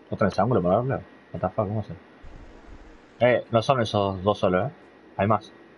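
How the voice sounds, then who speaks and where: Amid light background noise, a man talks in an animated, somewhat breathy tone at a moderate pace. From Argentina. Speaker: gaming streamer. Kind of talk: live gameplay stream chat.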